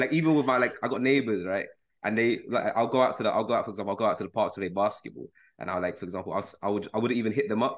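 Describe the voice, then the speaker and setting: Here a man talks at a very fast pace. He speaks with a London accent. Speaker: podcast host. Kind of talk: casual chat.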